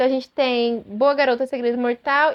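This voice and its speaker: A woman with a Brazilian accent talks at a fairly quick pace. Her voice is high-pitched and her tone is animated. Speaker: booktuber. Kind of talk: casual chat. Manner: fast.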